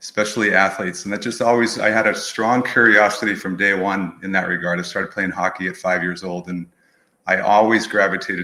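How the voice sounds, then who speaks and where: With an American accent, the speaker has a bright, sharp tone, fairly even intonation and a very fast pace, on a very clean recording with a silent background. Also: man. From New England, outside Boston. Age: 60s. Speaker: movement professional, studio owner. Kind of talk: podcast interview.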